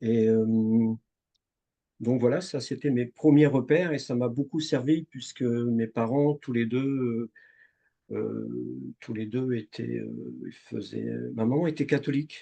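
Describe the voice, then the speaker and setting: At a very slow pace with long, frequent pauses, a man speaks in a medium pitch with a dark, mellow tone and fairly even intonation. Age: 60s. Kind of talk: interview testimony. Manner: halting, many fillers.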